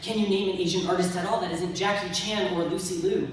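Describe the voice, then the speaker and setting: Noticeable background noise and a woman's fairly quick delivery. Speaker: theatre conservatory student. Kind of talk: spoken word poetry performance.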